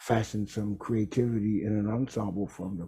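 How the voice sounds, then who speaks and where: With an American accent, a man speaks at a moderate pace in a somewhat breathy, fairly low-pitched voice with a dark, mellow tone. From Texas, Houston. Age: 60s. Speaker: jazz trombonist and bandleader. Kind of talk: interview. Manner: halting.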